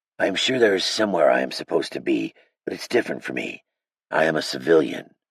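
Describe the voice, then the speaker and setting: A put-on character voice from a man, raspy and fairly low, delivered at a very fast pace. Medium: read story.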